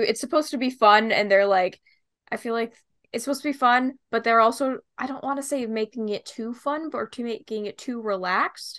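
Speaking at a fairly quick pace in a western Canadian accent, a woman's high-pitched voice comes through on a very clean recording with a silent background. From Greater Vancouver, Canada. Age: 20s. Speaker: podcast host, student. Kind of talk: casual chat.

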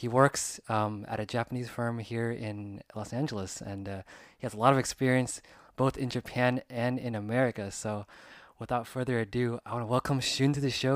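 On a very clean recording with a silent background, a man speaks with fairly even intonation in a dry, close sound with no echo. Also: medium pitch for a man. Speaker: podcast host and former Japanese teacher. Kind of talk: casual interview chat. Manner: fast talker.

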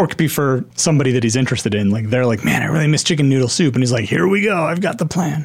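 Very fast, lively speech from a medium-pitched man, loudness very even, with noticeable background noise. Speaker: podcast host. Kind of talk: casual chat.

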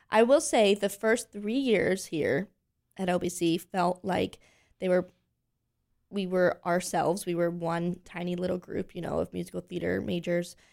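A woman's fairly low voice with an American accent and vocal fry, at a moderate pace with ordinary pitch variation. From Pennsylvania, Lancaster. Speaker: singer, actress and voice teacher. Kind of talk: interview.

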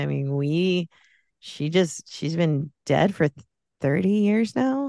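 An ordinary speaking voice at a moderate pace with lively intonation, in a dry, close sound with no echo and a quiet background. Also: woman. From US, Mexican-American family. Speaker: podcast guest. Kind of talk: casual chat.

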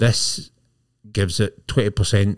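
Recorded very cleanly with a silent background, a man with a Scottish accent speaks in a somewhat breathy, fairly low-pitched voice with fairly even intonation. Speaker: podcast host. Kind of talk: casual chat.

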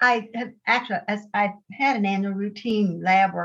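The voice has an American accent and sounds somewhat breathy. The pace is fairly slow. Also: woman. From Ohio and Pittsburgh, US. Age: 80s. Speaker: guest retired nurse, intermittent faster. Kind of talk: casual interview storytelling. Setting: video call.

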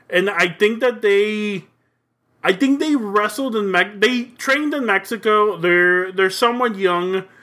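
A man speaks in a raised, projected voice at a fairly slow pace, his pitch high and ordinarily varied, his tone bright and sharp, on a very clean recording with a silent background. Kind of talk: wrestling promo. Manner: boastful, fired-up, swaggering, with Spanish phrases.

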